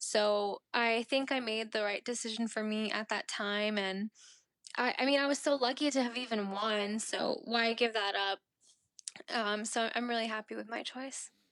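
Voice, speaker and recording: This woman talks with a Mid-Atlantic American accent and fairly even intonation. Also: fairly high pitch for a woman, moderate pace. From Maryland, US (immigrated from India at age three). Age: 20s. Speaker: beauty pageant titleholder. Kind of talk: interview.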